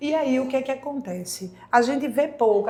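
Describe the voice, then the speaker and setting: Amid audible room echo and noticeable background noise, a woman speaks at a fairly quick pace with ordinary pitch variation. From Brazil, Pernambuco (Candeias, near Recife). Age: 40s. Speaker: occupational therapist. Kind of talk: podcast interview.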